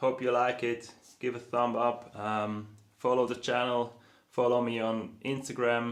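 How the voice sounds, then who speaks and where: Speaking with a non-native accent, a man talks at a fairly slow pace in a medium-pitched voice with monotone, flat intonation. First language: not English. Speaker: board builder and YouTuber. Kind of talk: tutorial. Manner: hesitant, many fillers.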